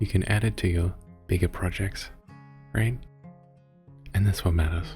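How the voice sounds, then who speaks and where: A soft-spoken man with a very deep, low pitch talks in a gentle tone over music in the background. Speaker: ASMR creator, VTuber, artist. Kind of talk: soft-spoken ASMR motivational talk. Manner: soft-spoken, gentle, reassuring.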